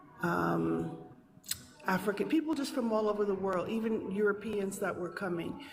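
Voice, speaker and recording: A woman talks with an American accent. Audible room echo and noticeable background noise surround her voice. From New York City (Manhattan and the Bronx). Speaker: caller, teacher abroad. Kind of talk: call-in discussion.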